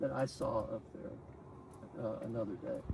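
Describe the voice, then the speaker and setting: A man with a Texan accent. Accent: Texan American English. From Texas. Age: 80s+. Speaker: spiritual disciple, scientist. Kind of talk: testimony. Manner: halting.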